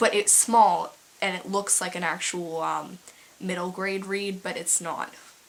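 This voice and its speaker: Noticeable background noise behind a fairly slow delivery. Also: woman. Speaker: book reviewer. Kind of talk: casual book review vlog. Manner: halting, many fillers.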